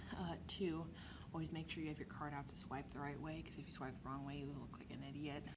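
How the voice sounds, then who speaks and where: A woman is whispering. Her words come at a very fast pace. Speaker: college art student. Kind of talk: casual vlog talk to camera. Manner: whispered.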